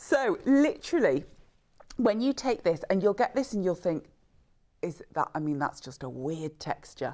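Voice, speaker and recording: With a northern English accent, a woman of medium pitch speaks at a moderate pace in a dark, mellow tone, her pitch swinging very widely. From northern England. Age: 50s. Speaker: brand representative. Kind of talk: sales pitch.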